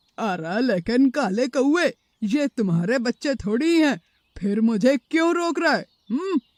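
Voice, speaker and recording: In a cartoonish character voice, a man squeaks at an extremely high pitch with very wide pitch swings. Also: fairly slow pace. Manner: sneering, gloating, laughs menacingly.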